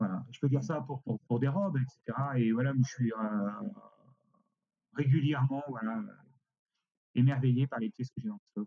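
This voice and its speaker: A man talks at a moderate pace with a medium pitch and ordinary pitch variation, leaving long, frequent pauses. His tone is dark and mellow, and the sound is dry and close with no echo. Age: 60s. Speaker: costume rental company director. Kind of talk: interview. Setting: remote recording. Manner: halting.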